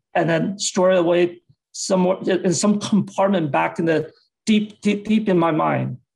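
A man with an American accent speaks at a fairly slow pace. The background is quiet. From US West Coast. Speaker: public health dean and physician. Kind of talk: lecture. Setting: video call. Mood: reflective, earnest. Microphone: video call.

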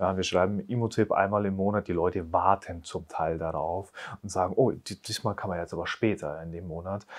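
Against a quiet background, a man with a very deep, low pitch talks at a fairly quick pace in fairly even intonation. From Bavaria (Upper Palatinate, Neumarkt); Bavaria. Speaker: real estate agent; interviewee. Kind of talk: interview. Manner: casual. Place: studio. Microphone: lapel.

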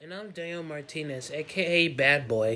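A man is speaking here. His pitch swings very widely. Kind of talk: comedy skit acting, playing several characters. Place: home room. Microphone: webcam.

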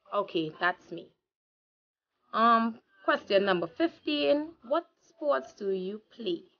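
A woman speaks very slowly with a Trinidadian accent and a fairly high pitch, pausing long and often. Her pitch swings very widely, and her loudness rises and falls sharply. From Trinidad and Tobago. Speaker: vlogger. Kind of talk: casual vlog monologue. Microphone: phone near.

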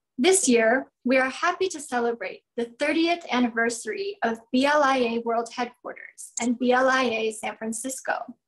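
A woman speaks in a high voice at a fairly slow pace. The background is quiet. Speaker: event host. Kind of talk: formal welcome speech. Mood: warm, cheerful. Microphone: video call.

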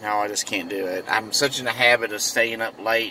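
A man speaks at a moderate pace with a fairly low pitch. The sound is dry with no echo, over light background noise. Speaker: vlogger. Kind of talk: casual vlog chat. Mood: relaxed, chatty. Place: car. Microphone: earbuds.

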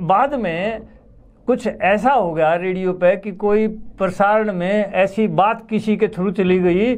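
At a very slow pace, a man talks in a high pitch with fairly even intonation. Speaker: veteran radio presenter; guest, former radio program host. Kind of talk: interview. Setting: studio. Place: studio. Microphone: lapel.

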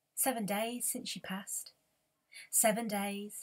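Somewhat breathy, a woman speaks with monotone, flat intonation. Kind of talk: reading aloud from a novel in verse. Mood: quiet, grave, emotional. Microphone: webcam.

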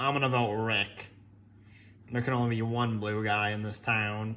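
A man's put-on character voice at medium pitch, monotone and flat, at a moderate pace. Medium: fan dub. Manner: exasperated, dry.

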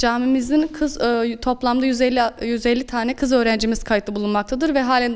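A woman's high-pitched voice with fairly even intonation amid noticeable background noise. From Aksaray, central Turkey. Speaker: Quran teacher. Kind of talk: interview.

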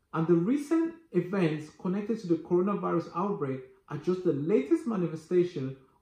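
Audible room echo surrounds a man speaking at a high pitch and a moderate pace. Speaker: finance educator. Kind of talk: tutorial. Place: home room.

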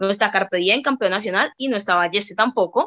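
A woman speaks at a fairly quick pace with a bright, sharp tone. The background is quiet. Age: 20s. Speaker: freestyle rapper; interviewee. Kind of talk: interview. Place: home room. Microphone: video call.

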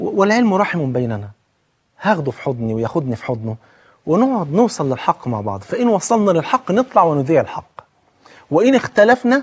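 Animated and high-pitched, a man talks at a moderate pace with very wide pitch swings. The background is quiet. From Egypt. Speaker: Islamic preacher and TV host; religious preacher on TV. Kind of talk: televised religious talk. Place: studio. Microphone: lapel.

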